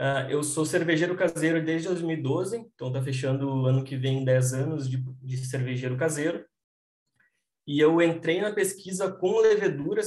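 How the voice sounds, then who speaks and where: This man has an unremarkable speaking voice with ordinary pitch variation. He talks at a moderate pace. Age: 20s. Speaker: microbiologist, brewing consultant. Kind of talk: interview explanation.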